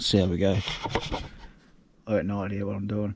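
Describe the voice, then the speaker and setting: A man in a strong Australian accent, relaxed in tone. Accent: broad Australian. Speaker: travel vlogger. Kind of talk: casual vlog narration. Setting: outdoors.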